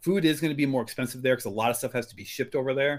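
A medium-pitched man with an American accent in a very clean recording with a silent background. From US Midwest, Iowa. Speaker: miniaturist and photographer. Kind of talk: casual interview chat. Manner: animated, many fillers.

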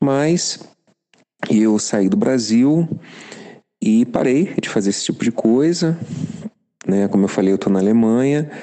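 With long, frequent pauses, a man speaks fairly slowly at a medium pitch, his loudness very even and his intonation lively. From Rio de Janeiro, Brazil. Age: 50s. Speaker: listener sharing experience. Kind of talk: recorded voice message testimony.

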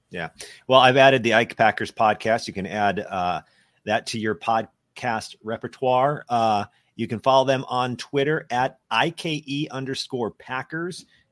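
A man with an unremarkable speaking voice, medium pitch and ordinary pitch variation, at a fairly slow pace, in a very clean recording with a silent background and a dry, close sound with no echo. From Minnesota. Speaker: sports podcast host. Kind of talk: casual sports interview.

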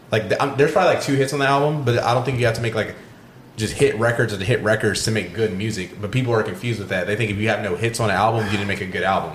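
A man talks at a very fast pace in a medium pitch. Noticeable background noise can be heard. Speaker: podcast co-host. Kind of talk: casual chat.

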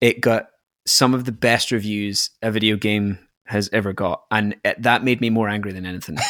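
A man with a Scottish accent, fairly low in pitch, monotone and flat, in a dry, close sound with no echo. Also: moderate pace. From Scotland. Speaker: podcast guest, gamer. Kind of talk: casual chat.

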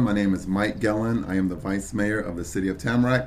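Talking at a very fast pace with ordinary pitch variation, a man is heard with audible room echo and noticeable background noise. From Brooklyn, New York. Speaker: local politician. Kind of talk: interview.

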